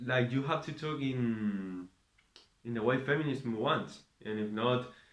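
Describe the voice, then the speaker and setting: A man with a Spanish accent talks at a fairly slow pace and a medium pitch. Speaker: vlogger. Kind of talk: casual monologue. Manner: halting, many fillers.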